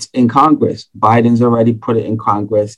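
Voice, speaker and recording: A man is speaking. He has a New York accent. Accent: New York City. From Bronx, New York. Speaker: entrepreneur, accountant. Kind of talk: casual chat.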